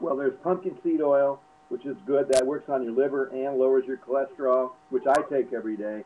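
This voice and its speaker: A man at medium pitch and a moderate pace, with ordinary pitch variation and noticeable background noise. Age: 60s. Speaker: alternative health advisor. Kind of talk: casual advice talk. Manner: halting, many fillers and repeats.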